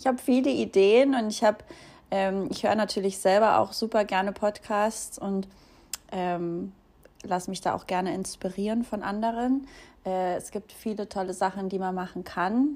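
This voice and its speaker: A woman speaks at a moderate pace with medium pitch and ordinary pitch variation. Her delivery has long, frequent pauses. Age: 20s. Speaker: podcast host and social media creator. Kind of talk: casual solo introduction. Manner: casual with fillers and laughs.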